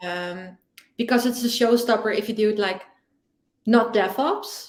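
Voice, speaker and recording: A woman's fairly high, fairly even voice with a Dutch accent, at a fairly slow pace. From Netherlands. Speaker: security podcast co-host. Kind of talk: casual chat.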